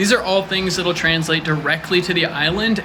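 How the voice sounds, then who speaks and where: With an American accent, a man talks at a high pitch with ordinary pitch variation. Noticeable background noise runs beneath him. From US South, Atlanta, Georgia. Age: 30s. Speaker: reality show applicant. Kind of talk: audition video monologue. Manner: animated.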